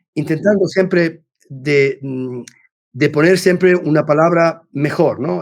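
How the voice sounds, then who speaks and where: A man talks at a fairly slow pace. His pitch shows ordinary variation. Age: 60s. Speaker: business executive and mentor. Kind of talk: podcast interview. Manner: halting, many repetitions and false starts; talkative.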